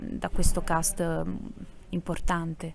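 At a fairly slow pace, a woman speaks at medium pitch in a dry recording with no echo. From Apulia (Salento); Apulia. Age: young. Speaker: actress and singer; actress. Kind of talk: interview. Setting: theatre. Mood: warm, cheerful. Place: stage. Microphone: handheld.

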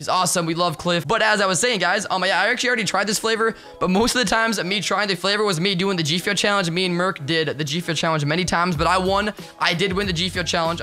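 A man speaks in a raised, projected voice that sits high for a man, with an energetic tone, ordinary pitch variation and faint music in the background. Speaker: YouTuber and streamer. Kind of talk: casual slang. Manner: very fast talker; energetic, hyped. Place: home room. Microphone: studio mic.

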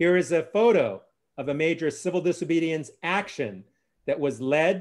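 In a quiet setting, a man talks at a fairly slow pace and a high pitch with ordinary pitch variation. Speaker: course host presenting slides. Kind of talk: lecture. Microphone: video call.

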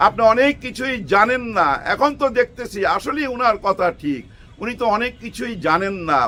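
A man projects a raised, high-pitched voice with a bright, sharp tone, lively intonation and an animated delivery. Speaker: political commentator. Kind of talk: political commentary monologue. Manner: animated, rhetorical.

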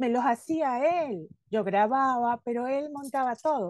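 A woman speaks at a very slow pace in a fairly high pitch with a dark, mellow tone. The sound is dry with no echo, against a quiet background. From Venezuela. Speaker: podcast host and former advertising copywriter; podcast host. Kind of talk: casual interview chat. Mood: warm, enthusiastic. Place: home room. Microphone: video call.

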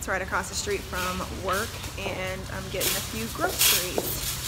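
Music plays in the background while a woman talks. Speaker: vlogger. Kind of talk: casual vlog chat.

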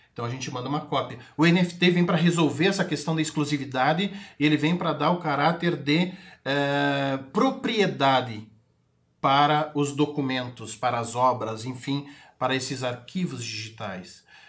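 Against a quiet background, a man talks at a moderate pace in a somewhat breathy voice. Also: fairly high pitch for a man, ordinary pitch variation. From Brazil, Rio Grande do Sul (Itaqui, western border); Rio Grande do Sul, Brazil. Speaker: sales executive and NFT entrepreneur; sales executive. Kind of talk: TV interview. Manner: hesitant with many fillers. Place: studio.

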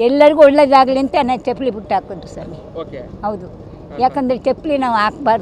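A woman with a high pitch and lively intonation speaks with big swings in loudness, over light background noise, in a dry sound with no echo. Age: 80s+. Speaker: voter. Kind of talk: interview answer. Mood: cheerful, proud. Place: street. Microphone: handheld.

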